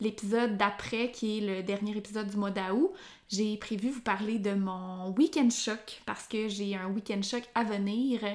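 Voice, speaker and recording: A woman speaks at a medium pitch in a Quebec accent. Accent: Québécois French. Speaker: sports nutritionist, podcast host. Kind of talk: solo educational podcast. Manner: hesitant, many fillers.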